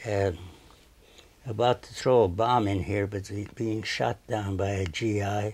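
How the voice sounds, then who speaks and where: Somewhat breathy and fairly low in pitch, a man talks at a fairly slow pace with ordinary pitch variation. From Turkey, Armenian family. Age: 90s. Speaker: painter. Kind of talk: interview. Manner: halting.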